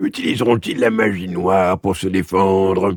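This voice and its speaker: A man does a raspy put-on character voice pitched very deep and low. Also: moderate pace. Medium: read story. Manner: grave, matter-of-fact.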